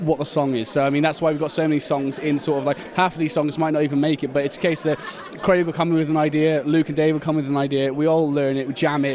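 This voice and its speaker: The speech goes by at a very fast pace. Noticeable background noise runs underneath it. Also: man, fairly high pitch for a man. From Shropshire, England. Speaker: heavy metal band member. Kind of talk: casual interview. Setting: music festival. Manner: animated, halting with fillers.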